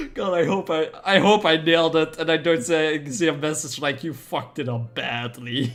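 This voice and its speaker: A man with a fairly high pitch speaks with a non-native accent and hardly any pauses. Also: ordinary pitch variation, moderate pace. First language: not English. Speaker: streamer. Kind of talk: live stream gameplay chat. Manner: halting.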